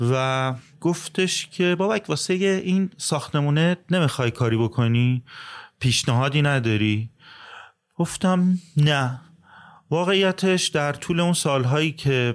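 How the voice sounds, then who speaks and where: In a very clean recording with a silent background, a man with a plain, everyday voice speaks at a fairly slow pace with lively intonation and very even loudness. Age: 40s. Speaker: music business owner. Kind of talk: casual interview.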